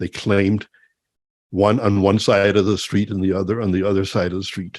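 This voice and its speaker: Monotone, flat intonation at a fairly quick pace, with an American accent and a quiet background. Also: man. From Denmark, then Michigan from age nine. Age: 70s. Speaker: engineer and church member presenter. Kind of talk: personal testimony talk to a discussion group.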